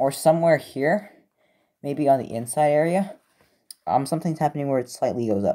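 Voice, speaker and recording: The voice is quiet. It moves at a very fast pace. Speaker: hobbyist model maker reviewing replicas. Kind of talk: casual show-and-tell video. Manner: hesitant, many fillers.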